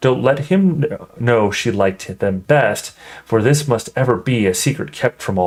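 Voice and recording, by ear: Lively intonation in a natural voice reading aloud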